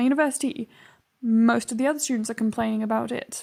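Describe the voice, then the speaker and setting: A woman with a British accent talks at a very fast pace in a high pitch and fairly even intonation, recorded very cleanly over a silent background. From UK. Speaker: youtuber. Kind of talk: casual chat. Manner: hesitant fillers.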